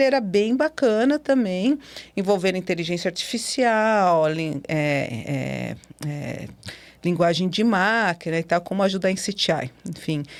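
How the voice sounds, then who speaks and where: Very wide swings in pitch from a woman, over a silent background on a very clean recording. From Brazil. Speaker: cybersecurity specialist and professor. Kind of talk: podcast interview. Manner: animated.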